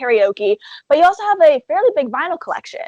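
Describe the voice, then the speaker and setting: Very fast speech in a Canadian accent is heard as a dry, close sound with no echo. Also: woman. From Canada. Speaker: interviewer. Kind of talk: video interview.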